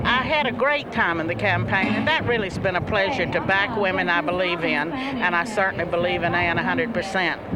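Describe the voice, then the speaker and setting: Against noticeable background noise, a woman speaks with audible room echo. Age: 70s. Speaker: political commentator. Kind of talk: live broadcast commentary.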